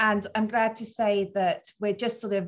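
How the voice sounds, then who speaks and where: A woman speaks at a moderate pace and a medium pitch. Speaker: arts organisation director. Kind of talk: panel presentation. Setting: video call. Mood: warm, pleased. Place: office. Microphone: video call.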